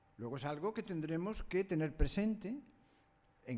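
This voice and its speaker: Dark and mellow in tone, a man with a high pitch speaks with lively intonation. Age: 80s+. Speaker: conference speaker, parent of a daughter with Down syndrome. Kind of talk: conference talk.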